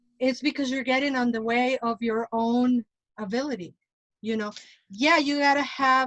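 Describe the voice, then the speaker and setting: Someone with a Mexican accent talks at a moderate pace. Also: woman, dry, close sound with no echo. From Mexico. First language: Spanish. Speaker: tarot reader and witch. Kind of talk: casual panel discussion.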